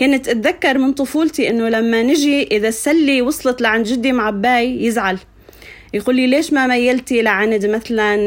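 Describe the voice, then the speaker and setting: Over noticeable background noise, a woman speaks at a high pitch with ordinary pitch variation and very even loudness. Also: moderate pace. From Syria, Suwayda countryside. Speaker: poet and educator. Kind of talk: interview storytelling.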